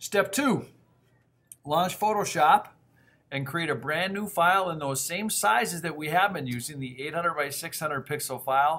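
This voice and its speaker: This man has a fairly high pitch and a bright, sharp tone. His pitch varies an ordinary amount. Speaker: middle school teacher. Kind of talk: tutorial. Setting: screencast recording. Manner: fast.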